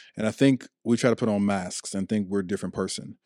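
With an American accent, a man speaks at a fairly quick pace in a fairly low, dark, mellow voice with fairly even intonation, recorded dry and close with no echo. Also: very clean recording, silent background. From Chicago, Illinois. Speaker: pastor. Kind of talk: casual chat.

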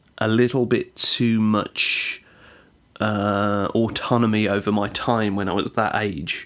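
Very slow, fairly low-pitched speech from a man, recorded very cleanly against a silent background. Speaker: podcaster. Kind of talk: casual solo podcast monologue. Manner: informal, hesitant, filler-heavy.

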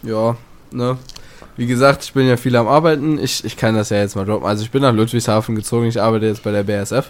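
The man talks at a very fast pace and medium pitch. His intonation stays fairly even. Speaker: podcast host. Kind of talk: casual chat.

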